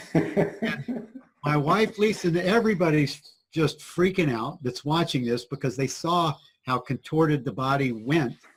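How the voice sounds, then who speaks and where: A man with a normal speaking voice talks at a fairly slow pace, his fairly high pitch carrying lively intonation. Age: 60s. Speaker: spiritual teacher. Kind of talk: interview storytelling.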